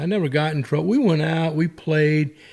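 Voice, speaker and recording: A man with a South Carolina Lowcountry accent, fairly high in pitch, with ordinary pitch variation. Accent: Southern US (South Carolina Lowcountry). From US South, South Carolina Lowcountry (Ridgeland). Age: 60s. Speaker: golfer and businessman. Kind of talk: casual chat. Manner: animated.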